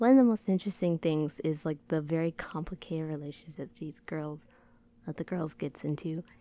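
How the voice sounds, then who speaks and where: Her voice is a very deep, low pitch for a woman, with a dark, mellow tone and ordinary pitch variation. The sound is dry with no echo. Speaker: video creator. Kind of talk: casual vlog chat. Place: home room. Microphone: handheld.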